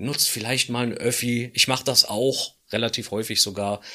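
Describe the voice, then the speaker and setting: A man speaks at a medium pitch and a moderate pace. His tone is bright and sharp, and the recording is very clean with a silent background. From Berlin. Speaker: economics professor and podcast co-host. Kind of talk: casual chat.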